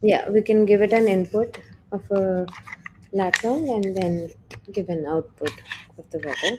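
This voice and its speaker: Amid noticeable background noise, a soft-spoken woman talks fairly slowly at medium pitch, with ordinary pitch variation, big swings in loudness and long, frequent pauses. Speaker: programming instructor. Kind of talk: tutorial. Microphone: too quiet.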